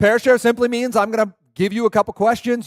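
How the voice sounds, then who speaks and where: Speaking at a very fast pace, a man with an American accent sounds animated, with a dry, close sound and no echo. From Pacific Northwest US (Puyallup, Washington). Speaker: workshop presenter on family technology. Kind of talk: seminar talk to a live audience. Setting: church event with live audience.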